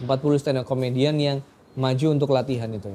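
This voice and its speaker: Speaking in a dark, mellow tone with a Surabaya accent, a man holds a medium pitch. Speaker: stand-up comedian. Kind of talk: interview answer. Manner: casual, chatty.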